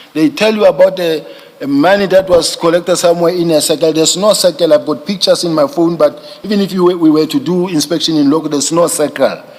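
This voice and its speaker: Over noticeable background noise, a man talks in a high voice with ordinary pitch variation. He goes at a very fast pace with hardly any pauses. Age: 50s. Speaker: police general testifying as witness. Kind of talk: testimony. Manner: halting, with many repetitions.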